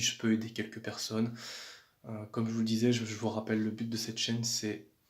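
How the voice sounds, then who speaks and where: A man speaks at a moderate pace. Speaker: fitness vlogger. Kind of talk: casual vlog talk. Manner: calm; hesitant, repeats words.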